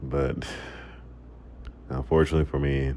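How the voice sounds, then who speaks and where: A man talks in a very deep, low voice at a moderate pace. His intonation is flat and monotone, with noticeable background noise. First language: Macedonian. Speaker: gaming vlogger. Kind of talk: casual monologue over gameplay. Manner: halting, repeats words.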